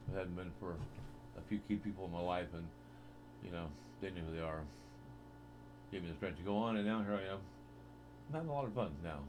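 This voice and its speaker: Audible room echo surrounds a man speaking at a very fast pace with very deep, low pitch and ordinary pitch variation. He takes long, frequent pauses. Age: 60s. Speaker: vlogger. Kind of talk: casual monologue. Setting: home webcam recording. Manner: hesitant, with frequent fillers.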